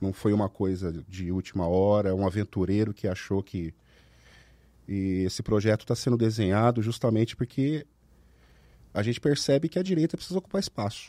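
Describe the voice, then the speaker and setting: The recording is very clean, with a silent background and a dry, close sound free of echo. The speaker talks at a moderate pace with a dark, mellow tone, ordinary pitch variation, and long, frequent pauses. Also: man, fairly low pitch for a man. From Brazil, Ribeirão Preto (São Paulo state). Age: 40s. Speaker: candidate for child protection council, firearms paperwork agent, army veteran. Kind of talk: casual podcast interview.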